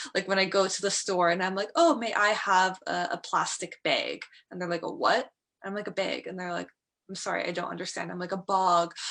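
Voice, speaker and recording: A woman with a Canadian accent and a bright, sharp tone speaks fairly quickly at medium pitch with fairly even intonation. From Canada. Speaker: English tutor. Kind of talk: one-on-one language lesson. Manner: casual.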